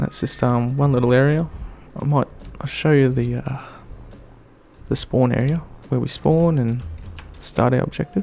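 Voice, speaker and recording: Soft-spoken, a man uses a medium pitch and fairly even intonation at a moderate pace. Long, frequent pauses recur over noticeable background noise. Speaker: gaming youtuber. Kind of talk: gameplay tutorial commentary. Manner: hesitant, many fillers.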